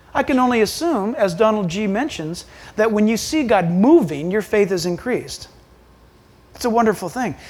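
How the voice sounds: A man speaks at a moderate pace in a high voice with a slightly mellow tone.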